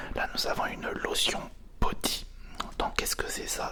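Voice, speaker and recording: A whisper at a fairly slow pace, with noticeable background noise. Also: man. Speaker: ASMR content creator. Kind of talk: casual ASMR unboxing, whispered talk to camera. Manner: soft-spoken, whispering.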